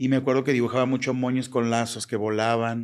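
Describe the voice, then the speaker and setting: Medium-pitched, flat, monotone male speech at a moderate pace, in a very clean recording with a silent background. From Mexico, Jalisco. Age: 40s. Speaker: fashion designer. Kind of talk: interview.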